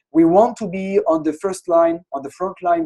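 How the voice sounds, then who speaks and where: Speaking at a fairly quick pace in a French accent, a man with a high pitch and a dark, mellow tone shows ordinary pitch variation, recorded with a dry, close sound and no echo. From France. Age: 30s. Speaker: innovation consultancy founder. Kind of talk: webinar presentation. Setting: online webinar with screen share.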